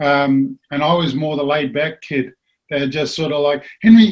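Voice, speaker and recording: A somewhat breathy man with a New Zealand accent, fairly high in pitch, at a moderate pace. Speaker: former rugby league player. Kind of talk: casual chat.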